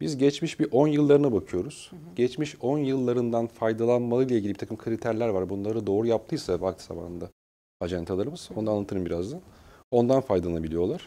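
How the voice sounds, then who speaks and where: Talking very fast at a medium pitch, a man uses a dark, mellow tone and lively intonation, with big swings in loudness. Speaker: human resources director; guest. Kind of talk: interview. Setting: studio. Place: studio. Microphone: lapel.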